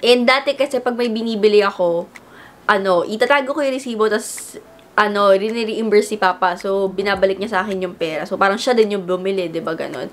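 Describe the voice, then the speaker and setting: A woman talks at a very fast pace with ordinary pitch variation. Noticeable background noise can be heard. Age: 20s. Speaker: vlogger. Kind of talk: casual chat.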